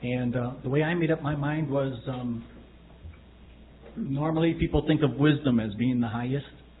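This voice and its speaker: A man's fairly high voice at a moderate pace, with ordinary pitch variation and long, frequent pauses. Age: 60s. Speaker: citizen speaking at public comment. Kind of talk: public comment. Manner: halting.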